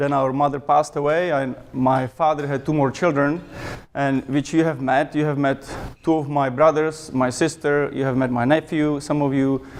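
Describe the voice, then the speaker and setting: Speaking with a Czech accent at a moderate pace, a man uses a fairly high pitch and a flat, monotone delivery. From Czech Republic. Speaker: club member speaker. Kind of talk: speech to a club meeting. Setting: club meeting with audience.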